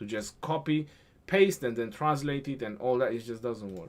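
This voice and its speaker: A man with a non-native accent at a medium pitch, moderate pace, and ordinary pitch variation. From Romania. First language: Romanian. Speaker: gaming streamer. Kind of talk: casual livestream chat. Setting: live stream. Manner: halting.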